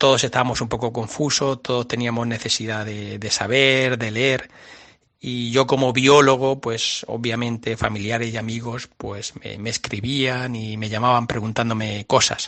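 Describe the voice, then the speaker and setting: With a Murcian accent, a man speaks at a fairly slow pace and a medium pitch. His intonation is monotone and flat. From Murcia, Spain. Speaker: biologist. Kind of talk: radio interview. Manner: halting, many fillers.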